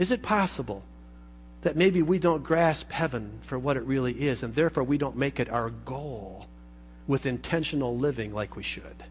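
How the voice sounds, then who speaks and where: This man talks at a moderate pace in a fairly high voice with vocal fry and lively intonation. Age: 50s. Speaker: pastor. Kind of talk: sermon.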